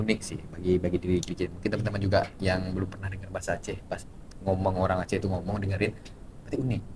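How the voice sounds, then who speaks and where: Breathing somewhat audibly, a man with a very deep, low pitch talks at a very fast pace in a monotone, flat intonation. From West Sumatra (Minangkabau). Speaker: university student. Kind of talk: casual chat.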